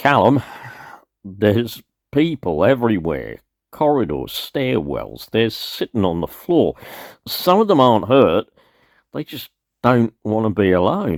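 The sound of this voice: In a put-on character voice, a man speaks slowly at a fairly low pitch, his pitch swinging widely between long, frequent pauses, on a very clean recording with a silent background.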